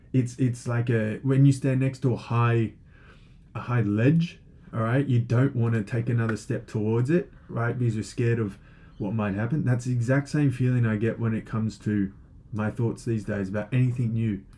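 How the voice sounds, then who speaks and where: The voice is dark, mellow and somewhat breathy. Its intonation stays fairly even. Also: man, medium pitch for a man, moderate pace. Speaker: online teacher of logic. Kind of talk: lecture. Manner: hesitant, many fillers.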